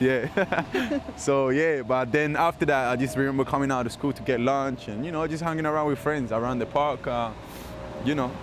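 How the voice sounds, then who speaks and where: Noticeable background noise runs under this recording. A man talks with fairly high pitch and fairly even intonation. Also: moderate pace. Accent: Spanish. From London, UK. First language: Spanish. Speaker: reggaeton artist. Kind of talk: interview answer.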